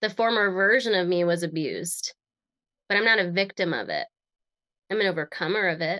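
A woman with an American accent and a bright, sharp tone talks at a fairly quick pace with ordinary pitch variation and long, frequent pauses. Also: medium pitch for a woman, dry, close sound with no echo, quiet background. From Connecticut, US. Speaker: transformational strategist and speaker. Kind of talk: interview conversation.

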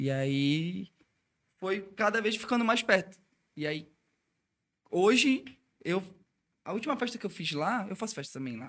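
A man with a high pitch speaks at a fairly slow pace with long, frequent pauses. His pitch swings very widely. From Brazil, Belém do Pará. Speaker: electronic music DJ. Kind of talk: casual chat.

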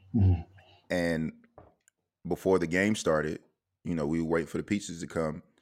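Speaking fairly quickly in a South Carolina accent, a man with a very deep, low pitch keeps his intonation fairly even and leaves long, frequent pauses. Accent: Southern US (South Carolina). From US South, Orangeburg, South Carolina. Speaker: podcast host. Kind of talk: casual interview chat.

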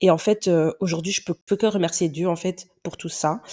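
A woman speaks with a dark, mellow tone and a fairly low pitch. Her intonation stays fairly even, and the recording is very clean with a silent background. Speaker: podcaster and teacher. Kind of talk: personal monologue podcast. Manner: hesitant, many fillers.

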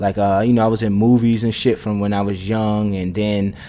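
Over noticeable background noise, a man with an American accent talks at a fairly quick pace in a fairly low voice. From Brooklyn, New York (Bed-Stuy). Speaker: podcast host and rapper. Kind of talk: casual solo monologue. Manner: animated.

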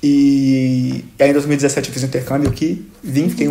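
With a fairly high pitch, a man's voice carries a dark, mellow tone. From Brazil, Belo Horizonte (Minas Gerais). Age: 20s. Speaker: university student. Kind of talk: casual chat.

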